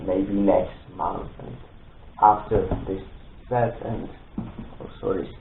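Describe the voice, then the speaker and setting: Audible room echo surrounds a man speaking at a very slow pace with a fairly low pitch. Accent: non-native. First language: not English. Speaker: Lego build video creator. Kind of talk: product presentation intro. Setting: home studio. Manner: halting, many fillers.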